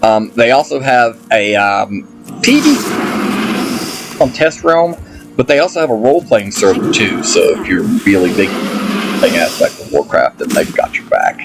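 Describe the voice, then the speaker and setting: Over background music, a man with an Appalachian accent speaks at a moderate pace. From Appalachia, US. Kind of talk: casual gameplay commentary. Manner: enthusiastic.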